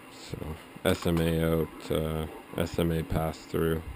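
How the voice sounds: A man speaks slowly at an extremely low pitch. His intonation is monotone and flat, and the tone is slightly mellow.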